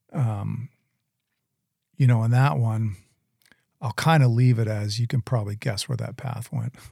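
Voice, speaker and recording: A man's medium-pitched, somewhat breathy voice with a dark, mellow tone, ordinary pitch variation, a moderate pace and long, frequent pauses, in a dry, close sound with no echo. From Southern Maine, Portland area. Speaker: gym owner sharing testimony. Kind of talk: testimony.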